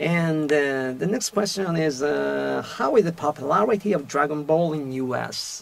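Very slow speech with hardly any pauses from a man at a fairly high pitch, ordinary pitch variation, over noticeable background noise. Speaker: voice actor. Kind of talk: radio talk show host.

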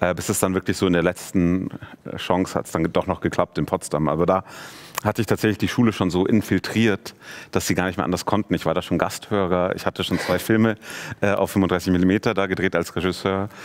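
A man's very deep, low voice at a fairly quick pace with fairly even intonation. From Munich, Germany. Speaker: film director; guest. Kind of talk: casual interview. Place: studio.

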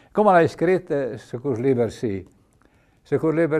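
The background is quiet. A man speaks in a dark, mellow tone with lively intonation. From Piedmont, Valle Maira; Piedmont. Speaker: retired doctor and author; TV guest. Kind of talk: interview storytelling. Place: studio.

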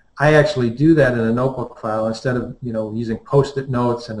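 Somewhat breathy, a man speaks at a very fast pace in a medium pitch. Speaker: high school math department chair. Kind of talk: panel discussion. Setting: video call.

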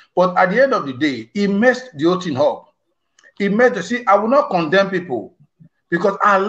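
Against a quiet backdrop, a man talks. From Nigeria, Edo State. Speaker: pastor, anti-trafficking activist; pastor. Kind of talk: political discussion. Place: home room. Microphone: video call.

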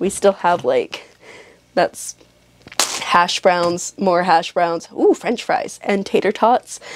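A woman at a very slow pace with long, frequent pauses and noticeable background noise. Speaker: vlogger. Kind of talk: casual vlog monologue. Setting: home, filming herself.

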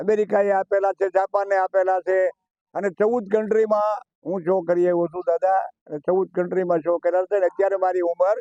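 With music in the background, a man speaks in a high, monotone, flat voice, the sound dry and close with no echo. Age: 80s+. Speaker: retired stage magician. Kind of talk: interview.

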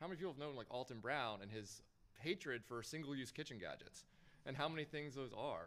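Pitched at a medium level with ordinary pitch variation, the man has a plain, everyday voice. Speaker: agency consultant presenting sponsor talk. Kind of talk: conference presentation with Q&A. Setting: stage with audience.

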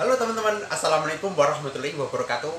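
A man's voice comes with noticeable background noise around it. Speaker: migrant worker vlogger. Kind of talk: casual vlog chat. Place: home room. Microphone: phone near.

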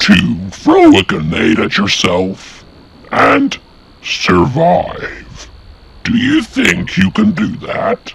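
A man growls in a put-on character voice at a very slow pace. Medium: machinima. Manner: commanding, imperious.

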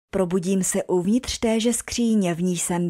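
A plain, everyday voice at a fairly slow pace with ordinary pitch variation, in a dry, close sound with no echo on a very clean recording with a silent background. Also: woman. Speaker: storyteller. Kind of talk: ghost story telling, first-person horror narration. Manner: hushed, tense, suspenseful narration.

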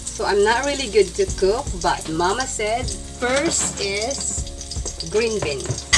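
A woman talks over loud background noise. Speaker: home cook vlogger. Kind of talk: casual vlog chat. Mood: a bit nervous, playful. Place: kitchen. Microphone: phone near.

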